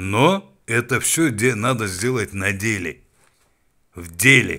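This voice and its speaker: A man speaks very slowly at a medium pitch, his tone bright and sharp. His loudness swings widely while his pitch varies an ordinary amount. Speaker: political commentator. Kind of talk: political rant. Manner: animated; halting.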